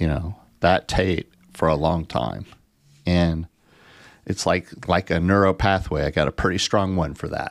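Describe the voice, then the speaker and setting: A man with a very deep, low pitch speaks fairly slowly, with long, frequent pauses and fairly even intonation. The sound is dry and close with no echo, in a very clean recording with a silent background. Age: 60s. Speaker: behavioral health advocate and podcast co-host. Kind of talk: casual chat.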